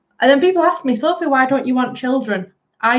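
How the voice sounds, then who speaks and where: A woman with a northern English accent talks fairly quickly with lively intonation. Her pitch is high. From northern England, Bolton (Greater Manchester). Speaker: livestreamer. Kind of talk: casual chat. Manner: animated.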